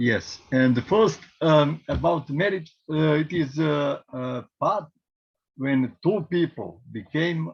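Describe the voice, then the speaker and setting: A man with a Serbian accent, lively intonation and a very slow pace. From Serbia, Belgrade. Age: 50s. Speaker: priest and genealogy presenter. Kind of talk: presentation. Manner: halting, many fillers.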